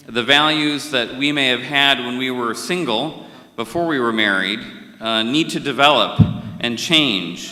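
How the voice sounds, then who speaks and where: Speaking with an American accent, a man goes at a fairly slow pace with medium pitch and ordinary pitch variation. There is noticeable background noise and audible room echo. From India. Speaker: conference session moderator. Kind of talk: conference speech.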